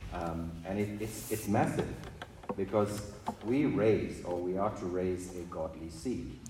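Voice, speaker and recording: Noticeable background noise surrounds a man with a very deep, low pitch. He talks at a fairly slow pace with lively intonation. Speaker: congregation member. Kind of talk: Bible reading and discussion.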